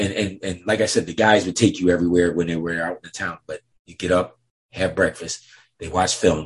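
A man's very deep, low, somewhat breathy voice with an American accent, fairly quick and monotone, flat in intonation, with big swings in loudness. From upstate New York. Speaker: former pro basketball team security officer. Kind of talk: interview, storytelling.

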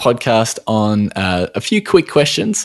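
In an Australian accent, a man speaks at a medium pitch with a dry, close sound and no echo. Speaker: podcast host, nutritional therapist. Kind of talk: casual interview. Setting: remote call. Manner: halting, many fillers.

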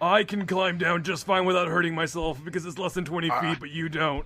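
A man uses a put-on character voice, high in pitch. He talks at a fairly quick pace with fairly even intonation. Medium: actual play. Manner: urgent.

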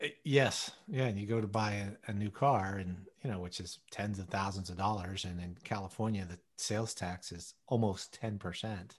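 Over a quiet background, a man with a fairly low, somewhat breathy voice speaks at a moderate pace, with fairly even intonation and hardly any pauses. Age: 50s. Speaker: podcast co-host. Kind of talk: casual chat.

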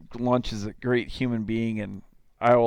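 Recorded very cleanly over a silent background, a man with a Minnesota accent speaks fairly quickly at medium pitch. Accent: Upper Midwest (Minnesota) American. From southern Minnesota, small town. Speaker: baseball club owner and coach. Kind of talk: casual interview chat.

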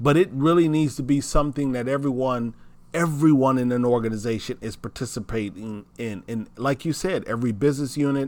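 A man's medium-pitched, animated voice with ordinary pitch variation at a moderate pace. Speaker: diversity speaker and radio host. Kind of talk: casual chat.

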